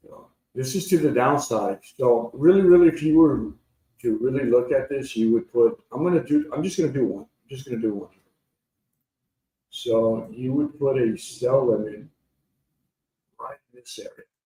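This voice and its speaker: This somewhat breathy voice has a dark, mellow tone, moving at a moderate pace with lively intonation, big swings in loudness, and long, frequent pauses. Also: man, medium pitch for a man. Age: 60s. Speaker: trading educator. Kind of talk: live trading tutorial. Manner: casual, repetitive.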